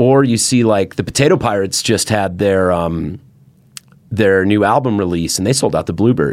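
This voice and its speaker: Here a man has an ordinary speaking voice and talks at a moderate pace. His pitch variation is ordinary. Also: fairly low pitch for a man. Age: 30s. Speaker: podcast host and musician. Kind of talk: casual chat. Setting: studio.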